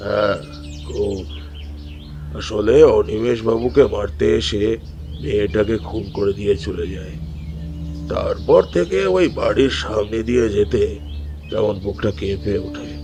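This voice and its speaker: A man's booming, put-on character voice, fairly low in pitch and at a fairly slow pace, over loud music in the background. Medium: cartoon. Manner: grave, ominous.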